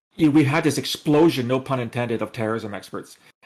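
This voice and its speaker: With music in the background, a man of medium pitch talks very fast in a Canadian accent. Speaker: former intelligence analyst and author. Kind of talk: podcast interview. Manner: animated.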